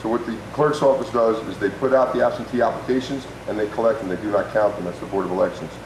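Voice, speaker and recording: Over noticeable background noise and audible room echo, a man talks very fast with ordinary pitch variation. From New Jersey (Parsippany). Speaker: political candidate. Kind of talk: debate opening statement.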